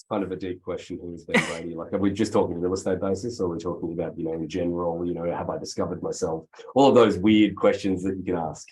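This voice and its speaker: A man with an Australian accent speaks with a very deep, low pitch and fairly even intonation. He goes very fast with hardly any pauses, his loudness swinging widely. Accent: Australian, noticeable twang. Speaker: real estate executive. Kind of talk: interview.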